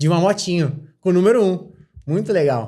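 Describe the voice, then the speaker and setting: A man speaks with a normal speaking voice at a moderate pace. His intonation is lively. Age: 20s. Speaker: professional motorcycle racer. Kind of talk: podcast interview.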